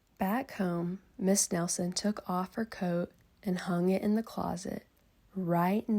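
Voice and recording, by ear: Someone reads out loud in a natural-sounding voice, keeping the intonation fairly even.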